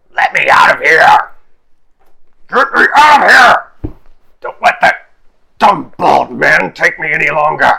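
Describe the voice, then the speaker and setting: In a raspy, put-on character voice, a man shouts at a fairly slow pace with long, frequent pauses. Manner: very angry, shouting.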